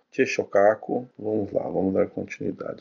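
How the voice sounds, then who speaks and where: A man talks at a moderate pace. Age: 40s. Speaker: religious study teacher. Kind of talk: lecture. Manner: casual, frequent filler tags.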